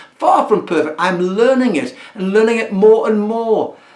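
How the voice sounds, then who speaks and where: A man with a high-pitched voice. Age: 70s. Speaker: community listening service volunteer. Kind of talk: recorded talk to camera. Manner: halting.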